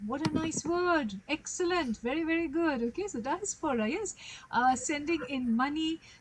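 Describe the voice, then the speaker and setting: A high-pitched woman talks at a moderate speed with lively intonation while noticeable background noise carries on. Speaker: English tutor. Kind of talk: tutoring conversation.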